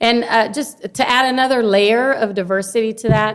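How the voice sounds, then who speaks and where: Speaking at a moderate pace, a woman has a Spanish accent. The recording is very clean, with a silent background. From Honduras, raised in Carson, California. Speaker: longshore worker and educator, political candidate. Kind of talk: casual interview chat.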